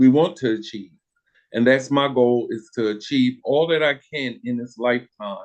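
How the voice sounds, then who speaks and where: Here is a man with an unremarkable speaking voice at medium pitch. His intonation stays fairly even at a moderate pace. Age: 60s. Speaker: recycled denim fashion designer. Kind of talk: casual interview. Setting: live podcast. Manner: relaxed, frequent fillers.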